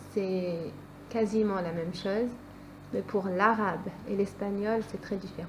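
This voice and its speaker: Fairly slow, medium-pitched speech from a woman with fairly even intonation and long, frequent pauses. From France. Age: 20s. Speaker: student. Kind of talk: interview. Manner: hesitant.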